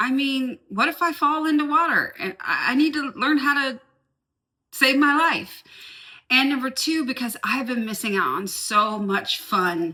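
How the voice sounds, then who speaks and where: A woman's high, bright, sharp voice, raised and projected, with lively intonation at a fairly slow pace. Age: 50s. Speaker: lifestyle vlogger. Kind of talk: casual vlog talk to camera. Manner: animated.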